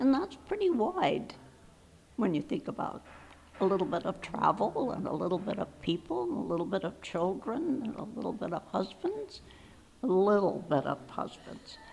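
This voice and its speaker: A woman's pitch swings very widely as she talks at a moderate pace, with noticeable background noise present. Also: medium pitch for a woman. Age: 80s+. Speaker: retired cafe owner. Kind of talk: casual reminiscence.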